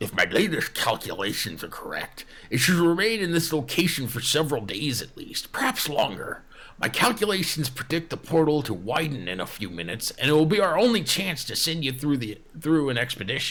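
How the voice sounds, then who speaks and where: Loud and fairly quick, a man uses a put-on character voice pitched fairly high. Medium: actual play. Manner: loud, excitable, jargon-filled.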